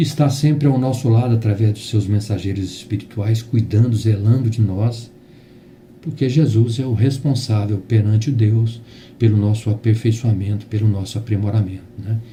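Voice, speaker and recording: At a moderate pace, a man speaks with medium pitch, fairly even intonation and a somewhat breathy quality. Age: 60s. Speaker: spiritist lecturer. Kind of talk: religious talk. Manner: halting.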